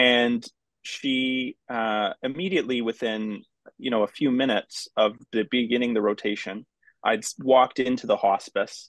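A man's ordinary speaking voice at a moderate pace, with fairly even intonation. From Newfoundland, Canada. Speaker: palliative care physician. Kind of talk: interview conversation. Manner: thoughtful, reflective.

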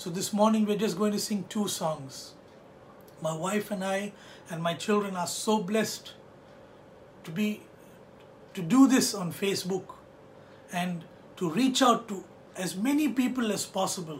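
A man with a high pitch speaks at a fairly slow pace over light background noise. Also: ordinary pitch variation. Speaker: pastor. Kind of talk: sermon. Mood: warm, earnest. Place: home room. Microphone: phone near.

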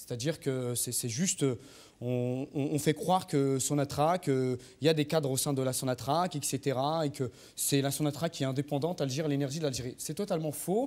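A man talks at a moderate pace. He has an ordinary speaking voice with ordinary pitch variation. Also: fairly high pitch for a man. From Algeria. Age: 30s. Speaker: engineer and political activist; studio guest or commentator. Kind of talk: political talk show debate. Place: studio. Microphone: lapel.

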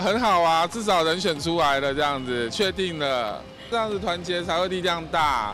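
Over clear music in the background, a man talks at a moderate pace in a high pitch, with a dry sound and no echo. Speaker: interviewee. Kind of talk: street interview answer. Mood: friendly, upbeat. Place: street. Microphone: handheld.

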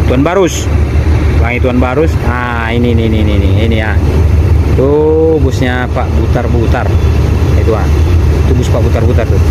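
Loud background noise accompanies fairly quick speech. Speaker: bus spotter vlogger. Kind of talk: casual vlog commentary. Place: street. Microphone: phone near.

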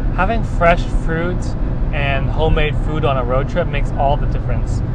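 A moderate pace over music in the background, the sound dry with no echo. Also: man. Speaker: vlogger. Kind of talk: casual vlog chat. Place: car. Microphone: lapel.

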